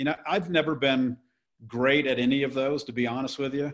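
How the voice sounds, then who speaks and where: With an American accent, a man talks in a normal speaking voice at medium pitch, a moderate pace and fairly even intonation. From US South. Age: 60s. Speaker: real estate investor. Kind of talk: podcast interview. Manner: casual, with frequent fillers and repetitions.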